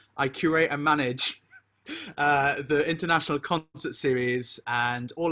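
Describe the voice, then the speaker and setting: In a Welsh accent, a man speaks with a bright, sharp tone and monotone, flat intonation. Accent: Welsh lilting. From South Wales. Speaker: university performance manager and composer. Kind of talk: online welcome session.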